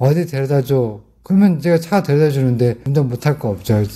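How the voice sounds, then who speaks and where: A man's somewhat breathy voice, dark and mellow in tone, with lively intonation at a fairly quick pace. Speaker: elderly driver interviewee. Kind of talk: street interview.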